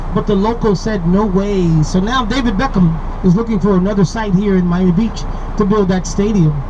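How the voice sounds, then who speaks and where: The speech runs at a fairly quick pace, with noticeable background noise behind it. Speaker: tour guide. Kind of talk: tour commentary. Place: bus.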